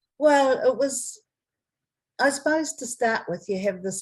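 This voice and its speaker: Speaking at a fairly slow pace, a woman with a New Zealand accent sounds somewhat breathy and her pitch swings very widely. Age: 60s. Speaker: adoptee. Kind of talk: interview answer.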